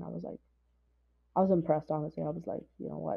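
A woman's voice, very deep and low in pitch. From India. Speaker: recent graduate, aspiring lawyer and classical singer. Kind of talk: casual interview.

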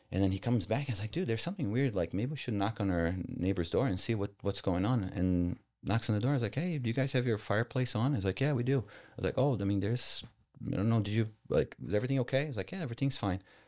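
A man with a Brazilian accent speaks very fast at a medium pitch, with lively intonation and a dark, mellow tone. The recording is very clean with a silent background. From Sao Paulo, Brazil. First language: Portuguese. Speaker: guest entrepreneur. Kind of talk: interview, casual storytelling.

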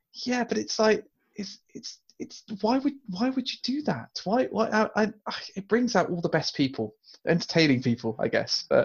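A man's high-pitched voice in a British accent, with lively intonation at a moderate pace. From UK. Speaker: podcast co-host. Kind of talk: casual chat.

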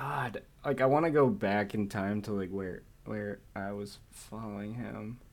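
This is a normal speaking voice from a man, fairly low in pitch with ordinary pitch variation. He speaks at a fairly slow pace. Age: 20s. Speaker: podcast co-host. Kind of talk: casual chat.

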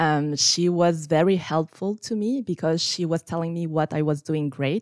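This woman talks with a French accent, fairly low-pitched and at a fairly slow pace. The sound is dry and close with no echo, a very clean recording over a silent background. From France. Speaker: scrum master. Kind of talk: interview.

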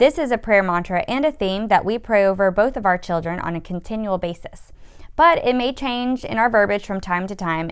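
In a plain, everyday voice, a woman speaks at a medium pitch and a moderate pace. Her pitch varies in an ordinary way. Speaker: podcast co-host, mother. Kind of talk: devotional podcast chat, reading aloud.

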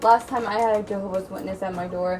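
Noticeable background noise behind a woman's fairly quick speech with ordinary pitch variation. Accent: American. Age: 20s. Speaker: podcast co-host. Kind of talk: casual chat.

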